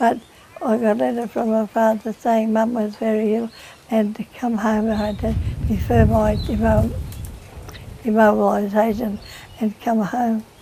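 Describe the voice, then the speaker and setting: Against noticeable background noise, a woman talks with a fairly high pitch and fairly even intonation, leaving long, frequent pauses. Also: moderate pace. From Queensland, Australia. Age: 80s+. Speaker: oral history interviewee. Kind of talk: reminiscence. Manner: halting.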